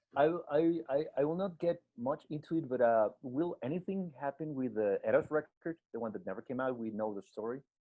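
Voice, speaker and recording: A man speaks at a fairly quick pace with a fairly high voice. His intonation is lively. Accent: Spanish. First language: Spanish. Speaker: radio host. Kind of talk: interview. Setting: video call.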